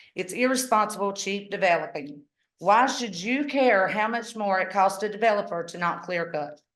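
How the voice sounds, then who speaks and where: Amid audible room echo, a woman speaks at a medium pitch. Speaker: public commenter at county meeting. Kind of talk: public comment. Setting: public meeting. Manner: fast.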